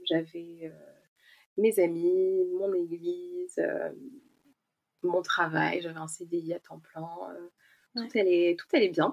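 Talking at a very slow pace with long, frequent pauses, a woman uses a fairly low pitch and shows big swings in loudness. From France, Ain near Lyon. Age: 30s. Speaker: expatriate guest. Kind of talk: casual chat.

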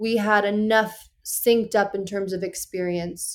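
A woman speaks in a normal speaking voice at a fairly high pitch. Her pace is fairly slow. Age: 30s. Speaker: podcast guest. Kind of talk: casual chat.

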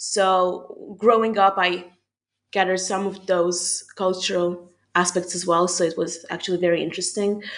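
A woman with a Hungarian accent speaks at a moderate pace and a medium pitch, her intonation monotone and flat. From Hungary. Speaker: university student. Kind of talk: casual interview chat.

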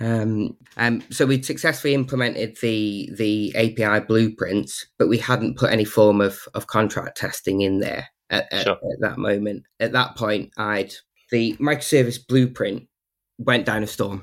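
In a very clean recording with a silent background, a man speaks at a fairly slow pace in a plain, everyday voice with ordinary pitch variation. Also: medium pitch for a man. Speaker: developer advocate. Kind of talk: casual interview.

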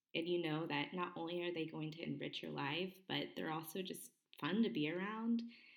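A woman talks at a moderate pace with a fairly low pitch. Hers is a plain, everyday voice. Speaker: podcast host, homeschooler. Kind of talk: interview chat.

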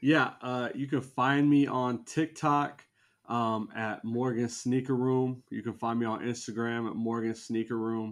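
Against a quiet background, a man speaks at a fairly slow pace. His medium-pitched voice has fairly even intonation. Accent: Midwestern American. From US Midwest (Indiana). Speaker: sneaker content creator and tennis coach. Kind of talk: casual chat. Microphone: very close to the camera.

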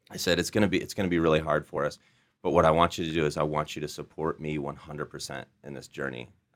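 Speaking very fast with an American accent, a man with a very deep voice and vocal fry keeps fairly even intonation while his loudness jumps a lot. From Iowa, US Midwest. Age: 30s. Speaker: entrepreneur, CEO. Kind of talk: interview storytelling.

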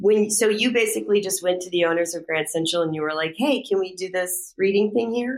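In an American accent, a woman talks at a fairly quick pace with hardly any pauses. Her pitch is medium and varies in an ordinary way. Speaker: podcast host, dramaturg. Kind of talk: interview conversation.

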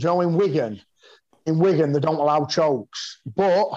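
This man has a fairly high pitch and a dark, mellow tone. He speaks with a Yorkshire accent. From West Yorkshire, northern England (mining village near Pontefract). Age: 40s. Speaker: martial artist and fighter. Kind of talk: casual interview chat.

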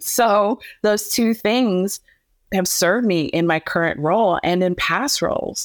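A plain, everyday voice with an American accent, fairly slow, with ordinary pitch variation, very even loudness and a dry, close sound with no echo. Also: woman, medium pitch for a woman, very clean recording, silent background. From US Midwest (Canton, Ohio). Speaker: MC and event host, former news anchor. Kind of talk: interview.

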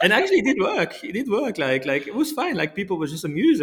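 A man with a French accent talks at a very fast pace. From France. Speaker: company founder. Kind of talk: interview. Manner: halting.

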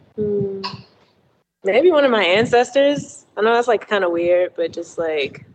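A woman with an American accent speaks at medium pitch. Her intonation is lively, and her pace is fairly slow. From Baltimore, Maryland. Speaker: independent musician. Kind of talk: casual interview. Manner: hesitant, many fillers.

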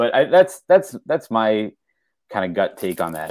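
He has an American accent and an unremarkable speaking voice. The man's pitch is fairly low, with lively intonation. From southeastern Pennsylvania (west of Philadelphia). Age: 40s. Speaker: writer and menswear enthusiast. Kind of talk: casual chat.

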